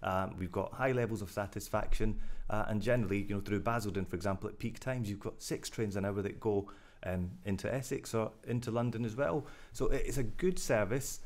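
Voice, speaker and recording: Speaking at a fairly quick pace, a man with a Glaswegian accent uses a fairly low pitch and ordinary pitch variation. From Scotland, Glasgow. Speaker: rail company director. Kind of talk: interview.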